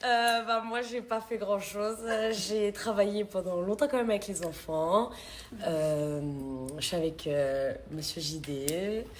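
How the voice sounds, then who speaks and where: A woman with a medium-pitched voice talks at a very slow pace and with lively intonation amid noticeable background noise. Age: 20s. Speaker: reality TV contestant. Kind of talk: casual chat.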